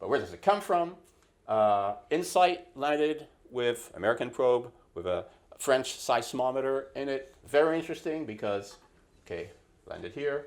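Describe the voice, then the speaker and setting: A man with a fairly high voice speaks at a moderate pace, his intonation lively and his loudness swinging widely, on a very clean recording with a silent background. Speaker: planetary geologist giving a talk. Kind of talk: lecture. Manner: halting, many fillers.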